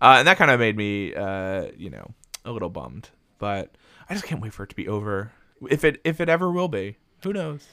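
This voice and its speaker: In a very clean recording with a silent background, a man's bright, sharp voice swings very widely in pitch. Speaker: podcast co-host. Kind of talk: casual chat.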